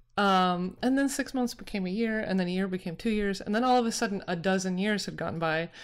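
A woman with a normal speaking voice talks at a fairly quick pace in an American accent, her pitch medium and her intonation lively. The recording is very clean, with a silent background. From Utah. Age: 40s. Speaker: arts venue co-founder. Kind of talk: interview.

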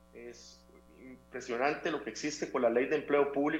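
Music plays in the background as a man speaks at a fairly high pitch with fairly even intonation. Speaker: civic foundation representative. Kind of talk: interview.

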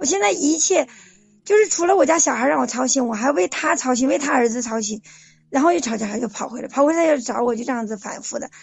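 A woman talks at a very fast pace in a high pitch. Her intonation is lively. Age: 40s. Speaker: caller seeking relationship advice. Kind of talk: call-in confession of personal story.

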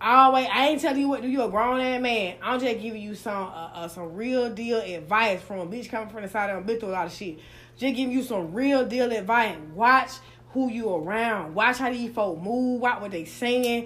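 With a Southern US accent, a woman speaks in a fairly high, animated voice with ordinary pitch variation, over noticeable background noise. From US South. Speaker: podcast host. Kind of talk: casual interview. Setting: live recording in Atlanta. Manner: fast talker, animated.

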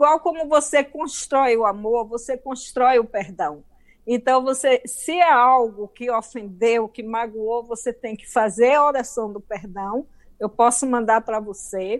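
A woman with a Bahian accent and ordinary pitch variation. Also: fairly high pitch for a woman. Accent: Bahian Brazilian. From Bahia, Brazil. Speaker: author. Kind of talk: interview, life story. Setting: video call.

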